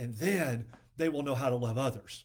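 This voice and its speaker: The recording is very clean, its background silent. A man talks at a moderate speed. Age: 60s. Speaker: ministry podcast host. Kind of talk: devotional teaching.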